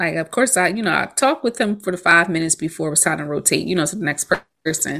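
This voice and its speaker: A woman's fairly low voice with vocal fry, lively intonation and an animated, bright, sharp tone, on a very clean recording with a silent background. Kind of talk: casual chat. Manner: animated, chatty.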